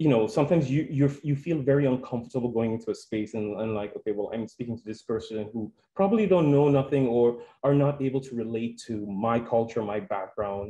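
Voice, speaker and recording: A man's dark, mellow voice at medium pitch, moving at a fairly quick pace with hardly any pauses. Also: ordinary pitch variation. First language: Spanish. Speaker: health centre staff presenter. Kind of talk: conference presentation. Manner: halting, with many fillers.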